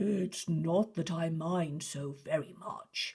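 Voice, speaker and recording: A growling, put-on character voice sits at a middle pitch. The pace is very slow. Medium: read story. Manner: mock stern, dignified; stammering.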